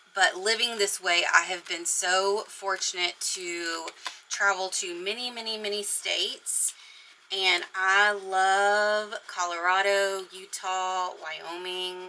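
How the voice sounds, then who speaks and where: In an American accent, a woman speaks at a very slow pace. Her medium pitch stays in a monotone, flat intonation. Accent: Texan, comes out at times. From East Texas. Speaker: crafting YouTuber. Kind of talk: casual craft tutorial. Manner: chatty, rambling.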